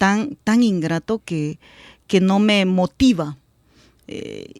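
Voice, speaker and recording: This woman's voice sits at a medium pitch with ordinary pitch variation, delivered at a very slow pace. The recording is very clean with a silent background and a dry, close sound with no echo. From El Salvador, rural area near Suchitoto. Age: 40s. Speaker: politician. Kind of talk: radio interview. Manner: halting, with many fillers and repetitions.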